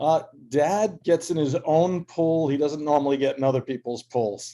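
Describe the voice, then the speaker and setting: With a Boston accent, a man speaks at a moderate pace. His fairly high voice has a dark, mellow tone and ordinary pitch variation. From Massachusetts, Boston area. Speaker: author. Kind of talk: casual chat.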